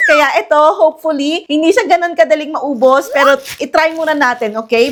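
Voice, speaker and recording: Over noticeable background noise, a high-pitched woman talks at a fairly quick pace with lively intonation and an animated tone. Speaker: product reviewer. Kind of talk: product review vlog. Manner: fast.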